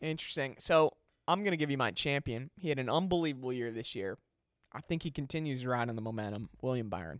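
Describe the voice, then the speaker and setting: Very fast and lively in intonation, a man talks at medium pitch. The recording is very clean, with a silent background. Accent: American. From Chicago. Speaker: podcast host. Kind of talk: casual banter.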